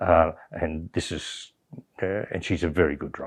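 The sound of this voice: A slightly husky edge, little pitch movement and a moderate pace. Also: man.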